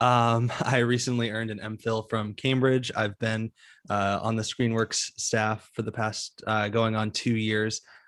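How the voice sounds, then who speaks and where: A man speaks at a fairly slow pace in a medium pitch, his intonation monotone and flat. The sound is dry and close with no echo, on a very clean recording with a silent background. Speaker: academic journal editor and podcast host. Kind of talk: panel discussion.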